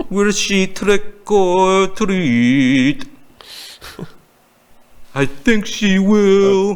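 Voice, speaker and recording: A put-on character voice speaks at a middle pitch in a dramatic tone. The delivery is very slow, with long, frequent pauses. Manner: dramatic, drawn-out word endings.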